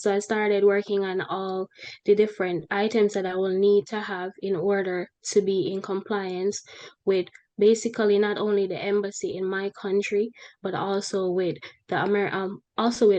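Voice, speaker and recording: This woman has a Jamaican accent and a medium pitch. She talks at a moderate pace in a flat monotone. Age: 20s. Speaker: human resources professional. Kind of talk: interview testimony.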